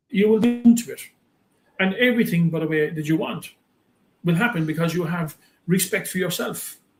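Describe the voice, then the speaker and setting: Ordinary pitch variation at a fairly quick pace. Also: man. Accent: Irish. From Ireland. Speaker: business coach and motivational speaker. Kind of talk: interview. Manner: animated.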